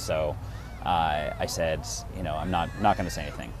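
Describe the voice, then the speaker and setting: Noticeable background noise runs under the clip. A man speaks with an American accent. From Massachusetts. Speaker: actor. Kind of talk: personal story told to camera.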